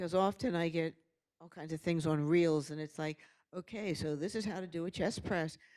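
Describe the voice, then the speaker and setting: Captured in a very clean recording with a silent background, a woman speaks in a dark, mellow tone with fairly even intonation. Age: 70s. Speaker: retirement community resident. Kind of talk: audience question.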